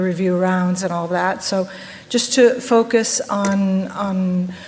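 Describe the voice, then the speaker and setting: A woman's medium pitch with ordinary pitch variation, against noticeable background noise. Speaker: medical journal editor and professor. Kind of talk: conference presentation.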